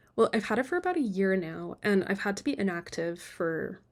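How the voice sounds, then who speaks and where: The recording is very clean, with a silent background. A woman speaks at medium pitch. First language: Polish. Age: 20s. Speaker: book vlogger. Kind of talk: casual vlog talk. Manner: casual, self-deprecating chatty.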